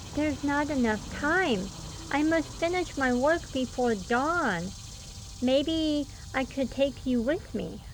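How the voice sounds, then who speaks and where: Over clear background noise, a woman uses a put-on character voice, high in pitch and at a fairly slow pace. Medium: read story.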